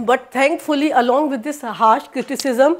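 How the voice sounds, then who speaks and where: With an Indian accent, a woman speaks at a high pitch with ordinary pitch variation. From northern India. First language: Hindi. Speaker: psychology professor. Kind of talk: lecture. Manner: halting, many fillers and restarts.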